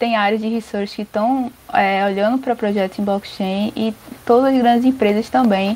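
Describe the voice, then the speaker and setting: Noticeable background noise beneath a voice of ordinary pitch variation. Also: woman. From Brazil, Recife (Pernambuco). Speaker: software developer and crypto entrepreneur. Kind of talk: casual interview.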